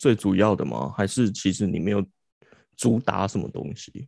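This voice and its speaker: A man's fairly low-pitched voice. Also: very clean recording, silent background. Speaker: podcast host. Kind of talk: casual chat.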